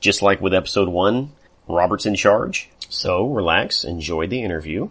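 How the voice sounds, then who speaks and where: A man speaks with an American accent in an unremarkable speaking voice. His pace is moderate and his pitch variation ordinary. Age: 30s. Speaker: podcast host. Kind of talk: casual chat.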